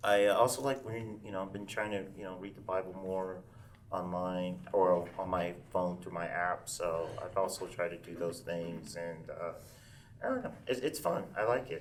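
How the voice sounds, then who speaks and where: A man with an American accent speaks at a very deep, low pitch. Audible room echo surrounds his voice. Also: ordinary pitch variation, moderate pace. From Arkansas, Pine Bluff. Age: 30s. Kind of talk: panel discussion. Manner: halting, many fillers.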